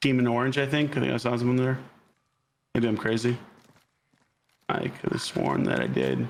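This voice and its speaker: A man with an American accent talks at a moderate pace, leaving long, frequent pauses. His loudness stays very even. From Florida. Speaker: actor and voice actor. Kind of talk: casual chat while gaming.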